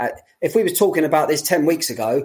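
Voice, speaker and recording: The talk moves at a fairly quick pace. It comes in a London accent. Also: man. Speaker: running coach. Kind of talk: casual chat.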